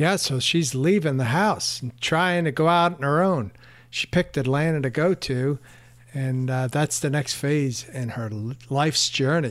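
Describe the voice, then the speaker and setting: A man with an ordinary speaking voice talks at a fairly slow pace, his fairly high pitch showing ordinary variation. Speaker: podcast host. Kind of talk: interview with narration. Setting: conference venue.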